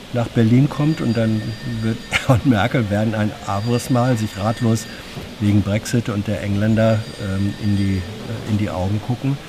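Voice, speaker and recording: A man at medium pitch and a fairly slow pace, over noticeable background noise. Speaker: journalist reporting on government press conference. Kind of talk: news recap chat. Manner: measured, explanatory, with hesitations.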